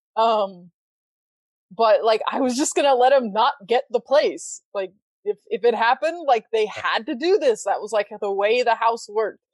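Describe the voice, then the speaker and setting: Here is a woman with an ordinary speaking voice, fairly high in pitch, with lively intonation at a moderate pace. The sound is dry and close, with no echo. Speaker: podcaster. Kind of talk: casual chat. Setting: live stream.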